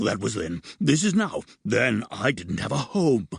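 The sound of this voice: Using a put-on character voice, a man speaks at a medium pitch and a moderate pace with very wide pitch swings.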